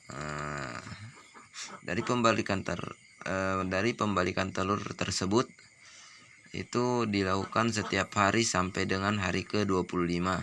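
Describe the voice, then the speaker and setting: Noticeable background noise sits behind a man with a very deep, low pitch. He speaks at a fairly slow pace with ordinary pitch variation. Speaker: duck breeder. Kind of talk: tutorial.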